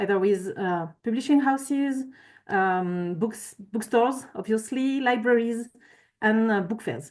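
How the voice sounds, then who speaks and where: In a French accent, a woman talks at a fairly slow pace against a quiet background. Her pitch is fairly high, with ordinary pitch variation. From France. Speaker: climate consultant. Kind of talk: conference presentation. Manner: halting.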